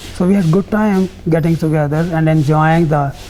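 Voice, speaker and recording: Music plays in the background as a man speaks at a moderate pace. His voice sits fairly high. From northwest Punjab (Rawalpindi area), now Pakistan. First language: Punjabi. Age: 80s+. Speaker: partition survivor, camp co-founder. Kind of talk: oral history interview.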